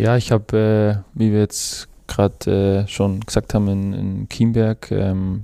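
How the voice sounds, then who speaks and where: A man with an Upper Bavarian accent, fairly low in pitch, dark and mellow in tone, very slow and monotone with flat intonation. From Upper Bavaria, Germany (Chiemgau). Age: 20s. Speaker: professional footballer. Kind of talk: casual interview. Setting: studio. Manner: hesitant, many fillers.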